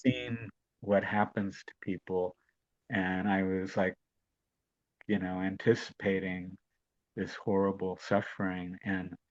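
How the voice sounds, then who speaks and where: A man's very deep, low voice, monotone and flat, very slow with long, frequent pauses, dry and close with no echo, over a quiet background. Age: 70s. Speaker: hepatitis advocate. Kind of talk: interview answer.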